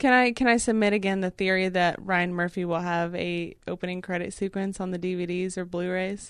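In a quiet background, a woman with an ordinary speaking voice talks at a medium pitch and a fairly quick pace, with hardly any pauses. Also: fairly even intonation. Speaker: podcast co-host. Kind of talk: casual chat.

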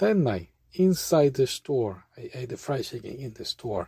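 A man's medium-pitched, somewhat breathy voice with lively intonation, dry and close with no echo. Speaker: language learning vlogger. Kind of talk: tutorial. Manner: casual, laughing.

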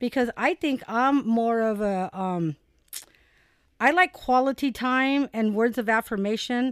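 An unremarkable speaking voice from a woman at a fairly high pitch with ordinary pitch variation and a fairly slow pace, dry and close with no echo, on a very clean recording with a silent background. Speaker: mother guest co-host, works with students. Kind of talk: casual chat.

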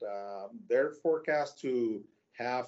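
A man speaks very slowly with a Spanish accent. His pitch is medium, with ordinary variation. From Mexico, Tijuana. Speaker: logistics executive. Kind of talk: interview. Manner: halting.

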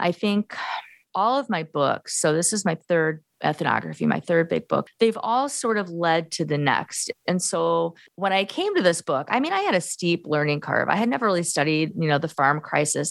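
A woman with an American accent, vocal fry and lively intonation, very even in loudness, at a moderate pace with hardly any pauses, on a very clean recording with a silent background. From US Midwest, Gary, Indiana. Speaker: professor and author. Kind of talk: interview.

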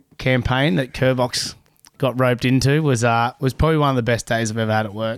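A man talks in an Australian accent at a medium pitch. His pace is fairly quick and his intonation monotone and flat. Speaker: lifeguard. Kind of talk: casual chat.

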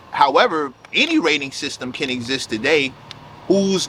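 Lively intonation runs at a moderate pace over noticeable background noise. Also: man. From South Jamaica, Queens, New York. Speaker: hip hop writer and label figure. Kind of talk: casual chat.

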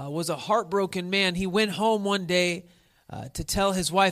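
Intonation stays fairly even in an unforced reading voice.

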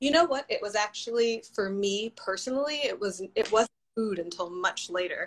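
A woman speaks at a moderate pace in a plain, everyday voice, fairly high in pitch, with lively intonation. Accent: American. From Washington DC area. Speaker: dancer and advocate. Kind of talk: casual interview.

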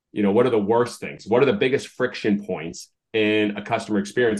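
This man talks at a very fast pace with an American accent. His pitch sits at a medium level. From US Northeast (Massachusetts). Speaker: baseball team owner and author. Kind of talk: interview. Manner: animated.

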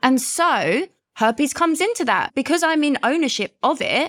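A woman with a London accent in an animated, enthusiastic tone, with a dry, close sound with no echo and a very clean recording, silent background. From London, UK. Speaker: guest, herpes advocate and coach. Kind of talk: casual interview chat.

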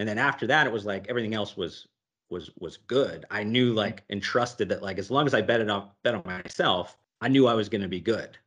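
Speaking in an ordinary speaking voice with an American accent, a man talks at a fairly quick pace with a fairly low pitch and ordinary pitch variation. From Youngstown, Ohio, US. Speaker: podcast host, business consultant. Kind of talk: interview.

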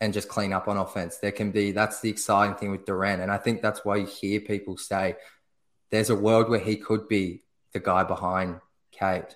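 A man with an Australian accent and a fairly low pitch speaks at a moderate pace in a monotone, flat intonation on a very clean recording with a silent background. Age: 20s. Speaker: basketball blogger. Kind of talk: casual chat.

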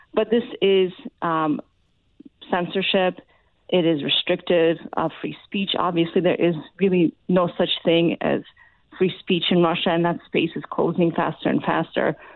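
A woman with a normal speaking voice and an American accent, fairly low pitch, fairly even intonation, fairly slow pace. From Ukraine, raised in the US from childhood. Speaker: foreign policy expert. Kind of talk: interview. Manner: frequent filler uh.

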